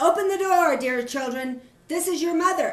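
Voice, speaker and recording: A female-sounding voice speaks in a put-on character voice at an extremely high pitch. The pace is moderate. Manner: feigned sweetness.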